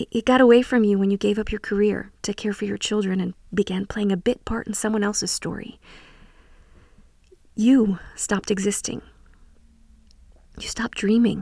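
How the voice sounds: A woman talks at medium pitch and a moderate pace, with long, frequent pauses. Her intonation is fairly even, her tone slightly mellow, with vocal fry.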